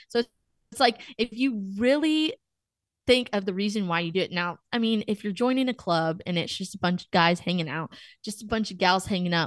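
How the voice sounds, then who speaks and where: A woman with a Texan accent speaks at a medium pitch with lively intonation. The sound is dry and close with no echo, over a quiet background. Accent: Texan American. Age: 20s. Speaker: college student and podcaster. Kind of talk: casual interview chat.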